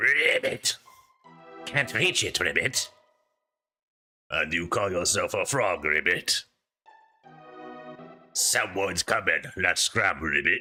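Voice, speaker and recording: Putting on a character voice, a man sounds raspy and croaky, talking at a fairly slow pace with long, frequent pauses over faint background music. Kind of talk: comic game dialogue reading. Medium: game stream. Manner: tacks a croaked word onto each line.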